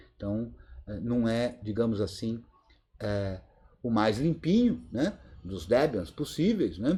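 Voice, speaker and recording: Speaking at a very slow pace with long, frequent pauses, a man with a medium pitch and a dark, mellow, somewhat breathy tone uses lively intonation. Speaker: Linux course teacher. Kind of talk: live online class Q&A. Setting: video conference.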